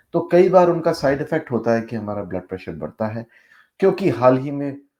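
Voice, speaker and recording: The background is quiet. A man talks in a dark, mellow tone. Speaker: doctor, health video host. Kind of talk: health talk to camera, Hindi-English mix.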